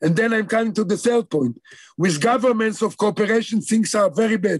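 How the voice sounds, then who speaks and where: Talking at a fairly quick pace, a man speaks with a high pitch. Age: 70s. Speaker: ornithologist, professor. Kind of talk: online lecture Q&A.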